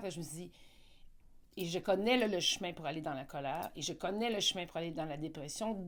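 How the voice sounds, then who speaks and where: A woman's normal speaking voice, fairly low in pitch, at a fairly quick pace with ordinary pitch variation. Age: 60s. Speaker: interviewee on personal growth. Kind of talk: interview. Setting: live event.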